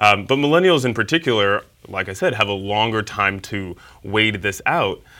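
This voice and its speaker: A man with a normal speaking voice and an American accent talks at a moderate pace, his fairly low pitch carried by lively intonation. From New York, Harlem. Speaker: nonprofit founder. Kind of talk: interview.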